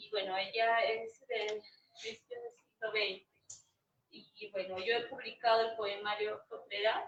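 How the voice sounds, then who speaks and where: Speaking at a fairly slow pace, a woman keeps a fairly high pitch with monotone, flat intonation. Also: big swings in loudness. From Peru, Arequipa. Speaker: poet and cultural manager. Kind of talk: self-introduction at literary event. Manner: hesitant fillers.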